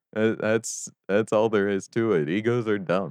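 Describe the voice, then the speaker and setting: Recorded with a dry, close sound and no echo, a man speaks over a quiet background. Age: 20s. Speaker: sound designer and music producer. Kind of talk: casual interview.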